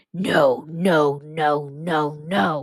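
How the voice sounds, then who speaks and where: The speaker uses a put-on character voice that is gravelly and sits at a middle pitch. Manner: repeated urgent muttering.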